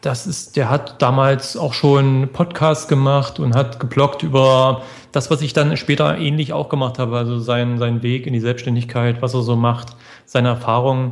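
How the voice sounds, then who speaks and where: With a normal speaking voice, a man talks at medium pitch and a moderate pace, keeping his intonation fairly even. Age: 40s. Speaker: blogger. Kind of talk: interview.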